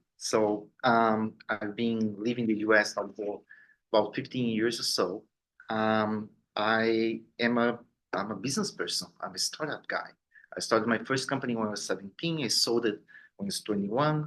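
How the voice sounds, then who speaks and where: He talks with a Brazilian accent and fairly even intonation. The man's pitch is medium. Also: moderate pace. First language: Portuguese. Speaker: business owner and board member. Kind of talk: self-introduction at members meeting. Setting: meeting room, recorded on Zoom. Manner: halting, many fillers.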